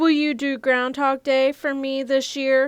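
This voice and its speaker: A woman uses a put-on character voice, high-pitched and monotone, with flat intonation at a fairly slow pace. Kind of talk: bedtime story. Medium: read story.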